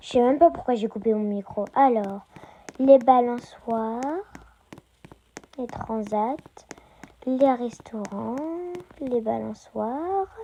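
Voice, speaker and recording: A woman speaks at high pitch and a very slow pace, with ordinary pitch variation. She leaves long, frequent pauses. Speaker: Roblox gaming youtuber. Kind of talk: casual gameplay commentary. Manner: hesitant, many fillers.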